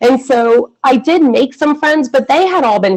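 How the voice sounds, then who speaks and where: This woman has an American accent. She talks at a moderate speed. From US Northeast, Philadelphia area then southern Michigan. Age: 40s. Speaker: former extremist turned prevention worker. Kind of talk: personal testimony in webinar. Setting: video call webinar. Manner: casual, frequent fillers like 'like' and 'um'.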